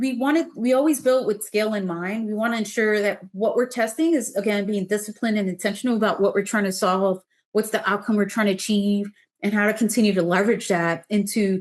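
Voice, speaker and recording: Against a quiet background, a woman talks at a fairly quick pace in a fairly high pitch with ordinary pitch variation. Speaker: city government official. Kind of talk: webinar presentation. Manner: fast.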